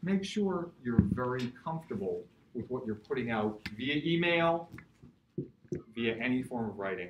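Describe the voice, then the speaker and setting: Over noticeable background noise, a man with an American accent speaks with very wide pitch swings. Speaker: workshop speaker, business school dean. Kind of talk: lecture.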